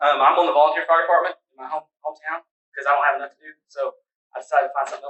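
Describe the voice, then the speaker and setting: A man with an Oklahoma accent talks at a very fast pace and a fairly high pitch. His intonation is monotone and flat, with big swings in loudness. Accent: Oklahoma, US Southern. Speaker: career tech center representative. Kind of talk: presentation.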